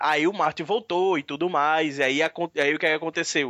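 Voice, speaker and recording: With a normal speaking voice, a man speaks at a fairly high pitch using fairly even intonation. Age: 30s. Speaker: podcast co-host. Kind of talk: casual chat.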